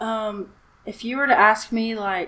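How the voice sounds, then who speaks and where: A woman's fairly high voice in a Southern accent, at a fairly slow pace. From US South. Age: 20s. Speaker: hobbyist builder and musician. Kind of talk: casual chat.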